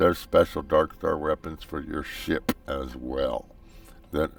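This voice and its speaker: With music in the background, a man with an American accent speaks at a fairly slow pace. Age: 60s. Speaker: gaming YouTuber. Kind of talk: gameplay commentary. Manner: casual, halting.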